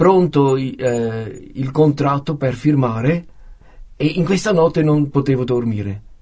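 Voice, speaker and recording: A man speaks at a very slow pace in a somewhat breathy, medium-pitched voice. His pitch varies in an ordinary way. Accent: Swiss German. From German-speaking Switzerland, near Zurich. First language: Swiss German (speaking Italian). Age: 50s. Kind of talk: testimony. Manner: halting, many hesitations.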